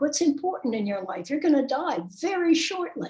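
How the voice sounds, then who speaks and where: This woman's voice sits high in pitch. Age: 80s+. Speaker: author and medium. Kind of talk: interview.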